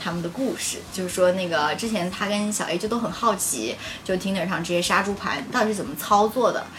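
In a room with audible echo and noticeable background noise, a woman of medium pitch talks at a fairly quick pace with ordinary pitch variation. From Changsha, China. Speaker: guest. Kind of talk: casual chat.

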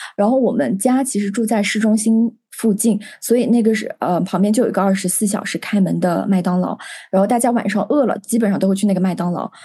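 Over a quiet background, a woman speaks very fast in a medium pitch, her somewhat breathy voice dark and mellow in tone with ordinary pitch variation. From China, ethnic minority region. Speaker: podcast co-host, psychology student. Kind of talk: casual chat.

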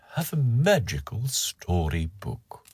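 This man speaks at a very slow pace. His voice is somewhat breathy. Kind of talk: bedtime story reading aloud. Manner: slow, gentle, soothing.

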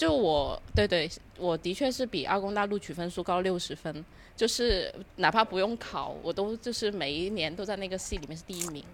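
A woman speaks at a moderate pace in a plain, everyday voice. Her pitch is medium and varies in an ordinary way. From Guangdong. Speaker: podcast guest. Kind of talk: casual chat.

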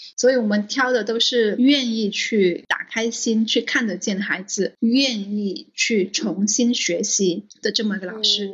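A woman's fairly high voice moves at a fairly slow pace, and noticeable background noise runs beneath it. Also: ordinary pitch variation, hardly any pauses. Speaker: school founder. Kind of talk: interview.

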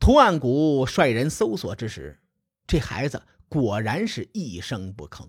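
A man with vocal fry speaks in an animated tone with very wide pitch swings, on a very clean recording with a silent background. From Western China. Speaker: storyteller podcaster. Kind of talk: storytelling narration. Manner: animated, voices characters.

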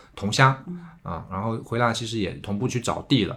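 This man talks very fast. His voice rests at a medium pitch. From Tongxiang, Zhejiang (Jiangnan countryside). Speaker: returnee silk farmer. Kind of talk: casual interview conversation.

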